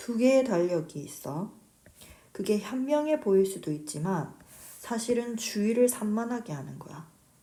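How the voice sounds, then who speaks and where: A woman speaks at a fairly slow pace in a fairly high voice, with very wide pitch swings and big swings in loudness. Room echo is audible. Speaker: English teacher. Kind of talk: lecture.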